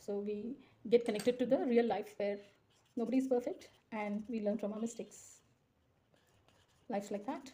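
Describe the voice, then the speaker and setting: Soft-spoken and somewhat breathy, a woman talks in a dark, mellow tone at a fairly high pitch. Her intonation stays fairly even, broken by long, frequent pauses. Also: moderate pace. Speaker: drawing tutor. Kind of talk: tutorial. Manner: casual, conversational.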